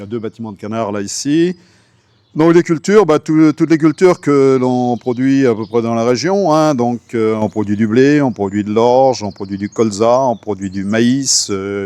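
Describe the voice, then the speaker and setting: A man's medium-pitched voice, dark and mellow in tone, with lively intonation at a fairly slow pace, in a dry, close sound with no echo. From Brittany, France. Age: 60s. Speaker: farmer. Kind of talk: interview. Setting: on his farm. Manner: hesitant, many fillers.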